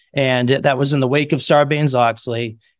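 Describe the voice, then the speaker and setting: A man speaks in an ordinary speaking voice at a fairly quick pace with fairly even intonation. The recording is very clean, with a silent background. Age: 50s. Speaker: compliance consulting firm CEO. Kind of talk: interview.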